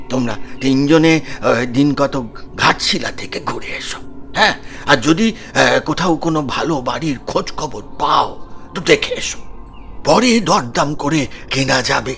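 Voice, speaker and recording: Using a put-on character voice at a fairly high pitch, a man talks at a moderate pace amid clear background noise. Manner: hesitant.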